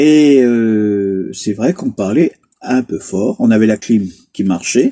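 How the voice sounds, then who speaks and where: This man talks at a very slow pace with lively intonation. The sound is dry and close, with no echo. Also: medium pitch for a man. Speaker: travel vlogger. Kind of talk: casual chat. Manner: loud.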